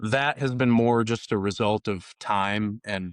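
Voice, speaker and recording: In an Upper Midwest accent, a man talks with a dry, close sound that has no echo. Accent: Upper Midwest American. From northern Minnesota. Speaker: country musician. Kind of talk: podcast interview. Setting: home recording on Memorial Day. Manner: casual, many fillers.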